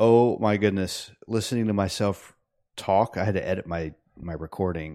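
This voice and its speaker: A man's plain, everyday voice at a fairly low pitch, with ordinary pitch variation, a moderate pace, and a quiet background. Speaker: software developer, podcast co-host. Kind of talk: casual chat.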